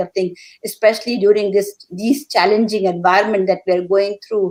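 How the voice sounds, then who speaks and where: A woman speaks with an Indian accent in a medium pitch. Her pace is moderate and her intonation fairly even. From India, Calcutta. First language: Hindi. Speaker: poet. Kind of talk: panel discussion. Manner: halting.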